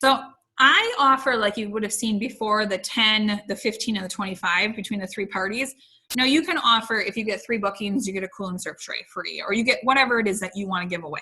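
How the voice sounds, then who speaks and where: Rushing at a very fast pace, a woman speaks at a fairly high pitch with ordinary pitch variation. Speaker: direct sales trainer. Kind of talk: training webinar.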